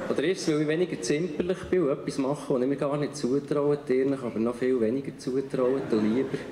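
A man talks at a fairly quick pace with hardly any pauses, very even loudness and fairly even intonation. Light background noise and audible room echo are present. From Bern, Switzerland. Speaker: writer and spoken-word artist. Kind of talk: poetry slam performance. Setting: live stage in front of an audience. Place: stage. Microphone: handheld.

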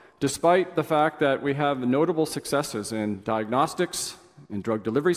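Lively intonation carries this voice along at a moderate pace. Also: man. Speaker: invited conference lecturer. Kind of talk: lecture. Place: hall.

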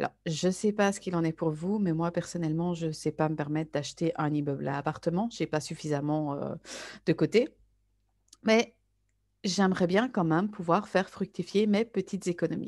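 A woman with an ordinary speaking voice, fairly low pitch, ordinary pitch variation and moderate pace, over a quiet background. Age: 30s. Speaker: network marketer. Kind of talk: sales pitch.

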